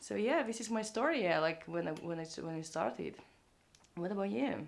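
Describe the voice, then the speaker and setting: A woman talks at a fairly quick pace with very wide pitch swings and vocal fry. Audible room echo surrounds her voice. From Lithuania. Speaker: traveler. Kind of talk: interview. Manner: halting.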